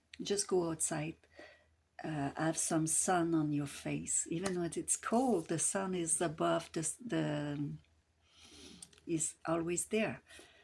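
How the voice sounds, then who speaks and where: In a Quebec accent, a woman with a fairly low pitch and ordinary pitch variation speaks at a very slow pace with long, frequent pauses, on a very clean recording with a silent background. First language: French. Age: 60s. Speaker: grief support coach. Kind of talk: casual advice talk to camera. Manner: hesitant, many fillers.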